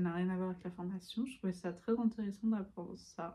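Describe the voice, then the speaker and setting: A woman speaks at medium pitch and a moderate pace with fairly even intonation. Her voice is somewhat breathy, with a dark, mellow tone. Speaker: student vlogger. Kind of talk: casual vlog talk. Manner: hesitant, many fillers.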